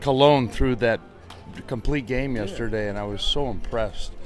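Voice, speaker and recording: Music plays in the background. A man speaks at medium pitch with ordinary pitch variation. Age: 70s. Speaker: former baseball pitcher. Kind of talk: interview answer. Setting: outdoors.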